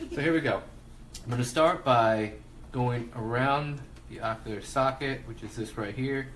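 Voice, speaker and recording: With noticeable background noise and audible room echo, a man speaks at a moderate pace in a fairly even intonation. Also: medium pitch for a man, big swings in loudness. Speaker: face painting artist. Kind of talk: live tutorial. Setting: home livestream. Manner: soft-spoken.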